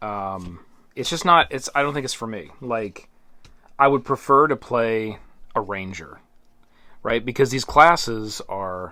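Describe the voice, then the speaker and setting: A man at medium pitch speaks fairly slowly, with long, frequent pauses and big swings in loudness. His tone is bright and sharp, and his intonation lively. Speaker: board game reviewer. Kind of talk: unboxing commentary. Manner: halting.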